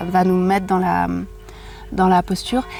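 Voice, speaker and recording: With a dark, mellow tone, a woman talks fairly slowly. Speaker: yoga teacher and sophrologist. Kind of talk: casual chat. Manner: calm, gentle.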